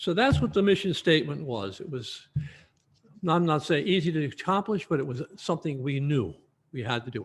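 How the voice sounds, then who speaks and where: Somewhat breathy, a man talks at a fairly quick pace on a very clean recording with a silent background. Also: lively intonation. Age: 80s+. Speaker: retired aerospace engineer. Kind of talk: lecture. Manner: animated.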